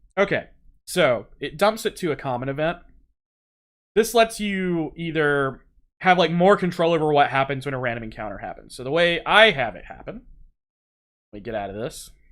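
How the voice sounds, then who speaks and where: A man with a slight Southern US accent, fairly high in pitch, with very wide pitch swings, big swings in loudness and long, frequent pauses, on a very clean recording with a silent background. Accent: slight Southern US accent, little drawl. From US South. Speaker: game development streamer. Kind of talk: live-stream tutorial.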